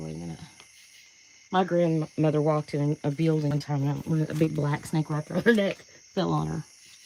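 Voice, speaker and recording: The speaker has an Appalachian accent. The pace is moderate. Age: 60s. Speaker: paranormal livestreamer. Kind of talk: live stream walkaround. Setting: outdoors at night.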